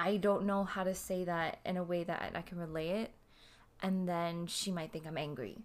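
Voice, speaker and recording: This is a normal speaking voice from a woman, fairly low in pitch. She keeps a moderate pace and fairly even intonation. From Canada. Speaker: podcast co-host. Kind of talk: casual chat.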